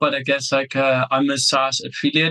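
Fairly even intonation in a Dutch accent. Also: man. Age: 30s. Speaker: SaaS entrepreneur. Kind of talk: interview.

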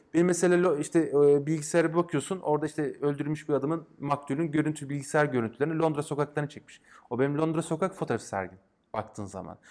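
A man's fairly high voice at a very fast pace. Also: ordinary pitch variation. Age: 30s. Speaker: game designer and academic. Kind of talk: casual interview. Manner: hesitant, many fillers.

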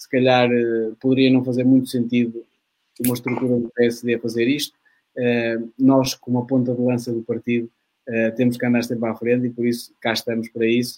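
A man speaks at a medium pitch and moderate pace in a dark, mellow tone. His intonation is flat and monotone, and the sound is dry and close with no echo. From Portugal, Maia (Porto area). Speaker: youth political organization moderator. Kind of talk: debate moderation. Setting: online livestream.

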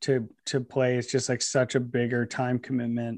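An American-accented male voice, medium in pitch. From Northeast Ohio, outside Cleveland. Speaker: golf brand founder. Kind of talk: casual interview. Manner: halting, many fillers.

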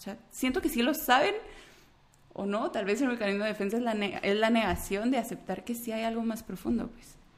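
A woman with a somewhat breathy, fairly high voice speaks at a moderate pace with ordinary pitch variation. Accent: Guatemalan. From Guatemala. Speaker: clinical psychologist. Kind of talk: casual interview conversation.

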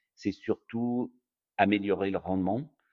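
A man's very deep, low voice at a very slow pace. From France. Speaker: private equity investor. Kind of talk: interview.

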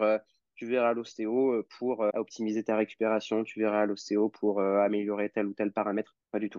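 A man speaks at a fairly low pitch and a moderate pace. His is a normal speaking voice. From France (Normandy / Lyon). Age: 20s. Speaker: osteopath. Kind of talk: casual interview.

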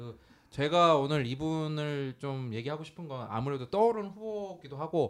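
This is an ordinary speaking voice. It keeps a moderate pace. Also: man. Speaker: podcast host. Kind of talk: casual chat. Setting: studio.

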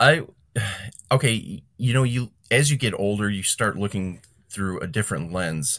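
Here a man with a plain, everyday voice speaks at a fairly low pitch and a moderate pace. His intonation is lively, and the recording is very clean with a silent background. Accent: American. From Chicago area, Illinois (Calumet City). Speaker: lawn care business owner and podcaster. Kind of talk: casual interview.

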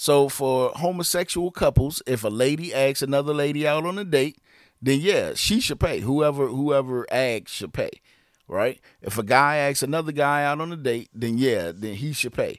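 On a very clean recording with a silent background, a man speaks in a plain, everyday voice at a fairly high pitch and a moderate pace, with ordinary pitch variation. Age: 40s. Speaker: podcast co-host, father. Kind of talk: casual family chat.

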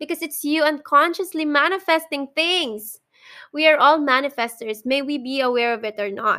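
A woman with a Filipino accent speaks in a raised, projected voice, high in pitch, with a bright, sharp tone and ordinary pitch variation. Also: moderate pace. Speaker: podcast host. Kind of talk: casual monologue. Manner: halting, frequent fillers and sighs.

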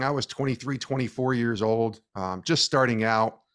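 In a very clean recording with a silent background, a man with an American accent speaks at medium pitch. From upstate New York, Albany. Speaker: sports media professional and author. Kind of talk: interview.

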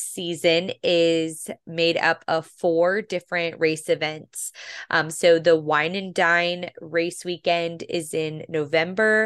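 A woman with a fairly low pitch talks at a very slow pace, with hardly any pauses. The background is quiet. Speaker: podcast host. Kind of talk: casual chat.

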